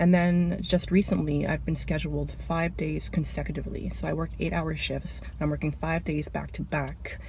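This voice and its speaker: The soft-spoken voice keeps a moderate pace. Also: woman. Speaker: vlogger, cashier. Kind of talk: casual vlog rant. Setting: in a car.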